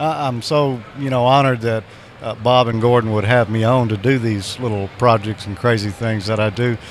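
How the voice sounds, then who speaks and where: With a Southern US accent, a man talks at a moderate pace in a medium pitch and fairly even intonation, with noticeable background noise around him. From Mississippi. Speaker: ham radio show co-host. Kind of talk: casual interview. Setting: convention floor.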